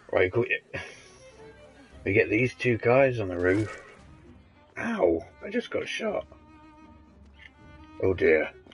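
A man puts on a strained, hoarse character voice at a medium pitch, speaking fairly slowly with long, frequent pauses. Faint music plays in the background.

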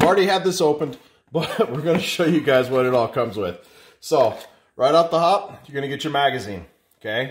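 Over light background noise, a man speaks at a moderate pace with lively intonation. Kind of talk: casual unboxing vlog chat. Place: kitchen. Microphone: phone near.

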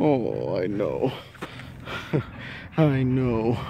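Recorded with a dry sound and no echo, a man speaks over light background noise. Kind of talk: casual vlog chat. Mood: affectionate, laughing. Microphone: phone near.

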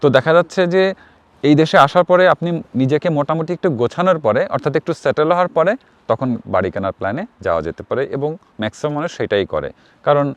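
This man has a plain, everyday voice, fairly high in pitch with lively intonation. The sound is dry and close, with no echo. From Bangladesh. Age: 40s. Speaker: YouTuber vlogger. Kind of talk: vlog monologue. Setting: outdoors in snow.

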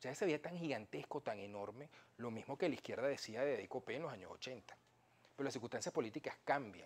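Lively in intonation, a man speaks at a very fast pace. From Venezuela. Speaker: historian and professor; professor. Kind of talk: political interview. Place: studio. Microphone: lapel.

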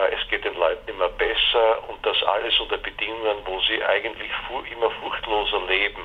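At a moderate pace a man talks while noticeable background noise carries on. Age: 60s. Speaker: philosophy professor. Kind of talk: interview. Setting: phone call. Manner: halting, many filler sounds.

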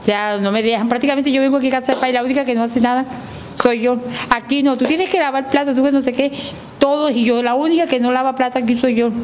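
Over light background noise, a woman talks at a very fast pace and high pitch, with fairly even intonation and very even loudness. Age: 40s. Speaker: transgender community member interviewed; interviewee. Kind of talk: interview testimony. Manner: halting. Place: studio. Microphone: handheld.

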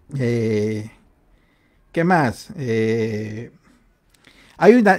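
A man speaks with very wide pitch swings over a quiet background. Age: 40s. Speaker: livestream host. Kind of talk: casual livestream chat. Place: home room. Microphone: studio mic.

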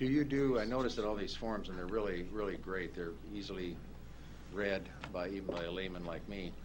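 With noticeable background noise behind him, a man with an American accent speaks at a fairly quick pace in a very deep, low pitch. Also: ordinary pitch variation. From US Midwest. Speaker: county commissioner. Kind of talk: public meeting discussion; meeting discussion remark. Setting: council chamber. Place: meeting room. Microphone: podium.

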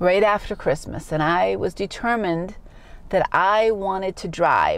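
This woman speaks at a fairly slow pace with a New England accent. The sound is dry, with no echo. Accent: New England American English. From Massachusetts, USA. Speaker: English teacher. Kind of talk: personal story told to camera for learners. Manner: slow, clear. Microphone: phone near.

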